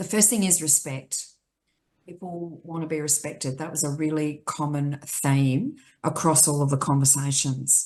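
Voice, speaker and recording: With an Australian accent, the voice moves along at a moderate pace. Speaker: aged care advocacy chief executive. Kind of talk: panel discussion. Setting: video call from home.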